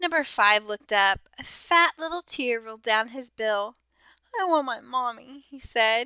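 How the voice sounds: A natural reading voice carries lively intonation, and the background stays quiet.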